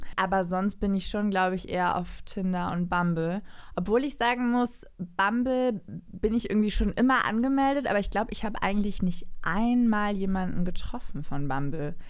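A woman speaks in a plain, everyday voice at medium pitch with ordinary pitch variation. She keeps a moderate pace with hardly any pauses. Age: 20s. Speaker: TV media worker, dating guest. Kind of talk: casual chat.

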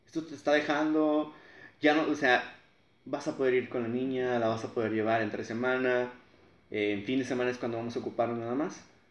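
Using an ordinary speaking voice, a man talks at medium pitch and a fairly quick pace with fairly even intonation. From Matamoros, Tamaulipas, Mexico. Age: 20s. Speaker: engineering graduate, family food business. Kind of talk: casual interview chat.

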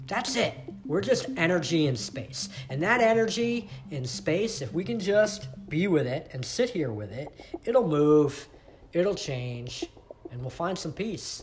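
Music plays behind a man who talks fairly slowly at a high pitch, his voice swinging very widely. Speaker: meditation teacher. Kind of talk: guided meditation. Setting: sitting on a cushion on the floor. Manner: slow, calm, soothing guide pacing the imagery; casual, chatty, self-deprecating.

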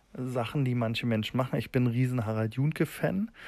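In a very clean recording with a silent background, a man speaks at a medium pitch with ordinary pitch variation and a dark, mellow tone. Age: 30s. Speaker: tattoo artist and podcaster. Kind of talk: casual monologue. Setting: outdoors in a garden. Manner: halting, many fillers.

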